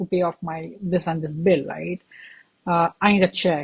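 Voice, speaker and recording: The voice is somewhat breathy, with an Indian accent, at a moderate pace. The sound is dry and close, with no echo. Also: woman. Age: 20s. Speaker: podcast host. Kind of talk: interview.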